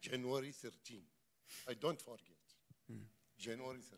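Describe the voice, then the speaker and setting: A man's medium-pitched voice with an Iraqi accent, at a moderate pace with fairly even intonation. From Iraq, Basra. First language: Arabic. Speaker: church member, refugee, former ship inspector. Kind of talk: testimony. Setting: church service. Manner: halting.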